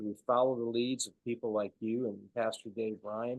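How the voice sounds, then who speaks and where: At a moderate pace, a man with an American accent speaks at a medium pitch in a normal speaking voice. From US Midwest, Wisconsin. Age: 60s. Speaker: ministry leader and former actor. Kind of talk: interview.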